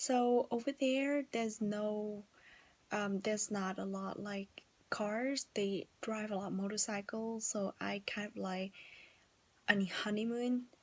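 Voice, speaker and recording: A woman talks at a fairly slow pace in a Vietnamese accent. Her pitch is fairly high and her intonation fairly even. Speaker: vlogger. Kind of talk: casual vlog talk. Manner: halting, many fillers.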